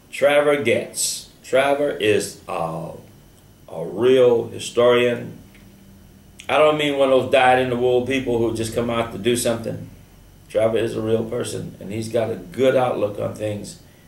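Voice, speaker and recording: A man with an American accent at medium pitch, fairly slow, with fairly even intonation and audible room echo. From US South. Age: 70s. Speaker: radio host. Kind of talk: radio interview.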